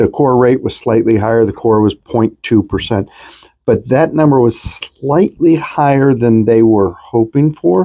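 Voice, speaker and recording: A man talks at a fairly slow pace in a medium pitch with a dark, mellow tone. His intonation is lively and his loudness very even. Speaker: mortgage lender. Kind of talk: casual chat.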